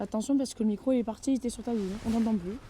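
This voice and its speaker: In a strong southern French accent, a woman speaks at a very fast pace. Her fairly high voice has a dark, mellow tone and ordinary pitch variation. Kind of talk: casual vlog talk to camera. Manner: upbeat, joking.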